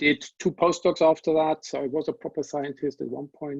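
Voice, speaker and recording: A man at a moderate pace, in a dry, close sound with no echo. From Germany. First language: German. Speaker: pharma industry scientist and panelist. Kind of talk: webinar panel introduction. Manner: hesitant, many fillers.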